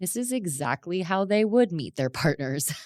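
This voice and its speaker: A woman with an American accent speaks at a moderate pace with lively intonation, on a very clean recording with a silent background. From US South, South Florida. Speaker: podcast host. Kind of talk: solo podcast storytelling. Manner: animated.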